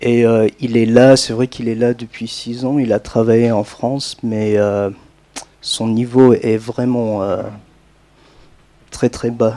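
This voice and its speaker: Delivered very slowly, the speech is monotone and flat, with long, frequent pauses. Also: man, medium pitch for a man. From United States. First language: English (speaking French). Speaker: language teacher, audience participant. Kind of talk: public meeting discussion. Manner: halting, many fillers and restarts.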